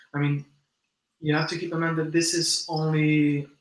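Audible room echo surrounds the voice. A man talks at a moderate pace. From mixed: born in US to Brazilian parents, long in Spain. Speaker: insect keeper and animal content creator; animal content creator. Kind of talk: casual live stream chat. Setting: live stream from home at midnight. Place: home room. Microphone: video call.

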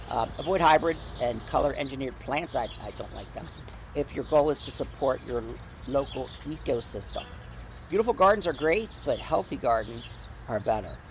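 Light background noise sits behind a man whose voice sounds dry, with no echo. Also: moderate pace. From New Jersey. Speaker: gardening video creator. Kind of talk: casual garden tutorial. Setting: outdoors in a garden. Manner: animated. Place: garden. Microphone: phone near.

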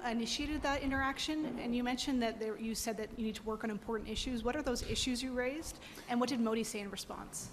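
A woman talks at a very fast pace. There is light background noise. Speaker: news reporter. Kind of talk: press conference question. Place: hall.

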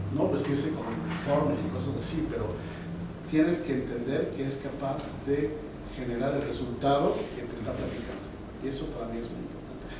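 Amid loud background noise, a man's voice carries audible room echo. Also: moderate pace. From Mexico City, Mexico. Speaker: corporate quality executive. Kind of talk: interview answer. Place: meeting room.

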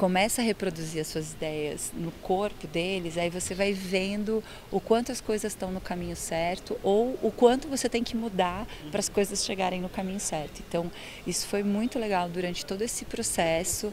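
A woman speaks at a moderate pace with ordinary pitch variation, the sound dry with no echo and light background noise behind her. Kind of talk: interview answer. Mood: warm, enthusiastic. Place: stage. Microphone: handheld.

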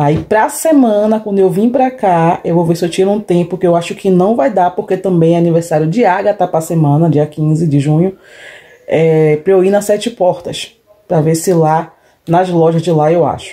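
A woman with a fairly low voice speaks at a moderate pace, with ordinary pitch variation and very even loudness. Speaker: vlogger. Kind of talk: casual vlog chat. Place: home room. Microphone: phone near.

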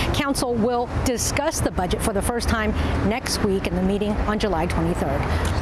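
A woman at a moderate pace with ordinary pitch variation, dry sound with no echo, and loud background noise. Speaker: TV news reporter. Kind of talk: news report sign-off. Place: street. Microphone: lapel.

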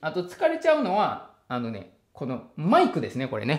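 The background is quiet. A man does the talking. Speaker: trauma therapist and online educator; psychotherapist educator. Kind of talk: solo educational talk. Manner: many fillers and hesitations. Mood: relaxed, lightly humorous. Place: home room.

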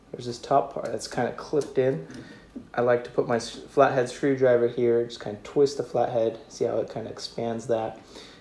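A man speaks at a moderate pace with fairly even intonation, with audible room echo and light background noise. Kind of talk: tutorial. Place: workshop.

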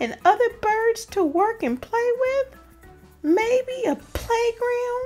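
A put-on character voice from a woman, extremely high in pitch and very slow, with faint music in the background. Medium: read story. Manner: whiny, dramatic, worrying.

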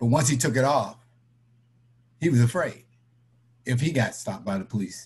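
With an American accent, a man talks in a somewhat breathy voice, using ordinary pitch variation and long, frequent pauses. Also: medium pitch for a man, moderate pace. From Florida (Tampa/St. Petersburg), born New York City. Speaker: credit union board member; interviewee. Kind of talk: personal testimony in online discussion. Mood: earnest, serious. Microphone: webcam.

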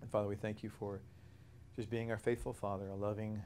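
Very fast and flat, a man's dark, mellow voice holds a monotone over light background noise. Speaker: bible study teacher. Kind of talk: prayer then lecture. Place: church. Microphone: lapel.

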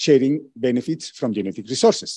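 A man with a dark, mellow tone against a quiet background. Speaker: presenter. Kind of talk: lecture. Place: hall.

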